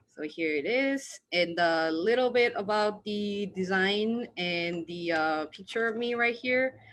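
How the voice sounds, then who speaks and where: Speaking with a Korean accent against a quiet background, a woman uses lively intonation at a medium pitch and a fairly slow pace. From South Korea. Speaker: student. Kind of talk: presentation.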